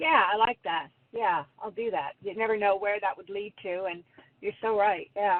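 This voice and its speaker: A woman speaks at medium pitch and a moderate pace, with ordinary pitch variation. It is a normal speaking voice. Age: 60s. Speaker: caller. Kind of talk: phone call conversation.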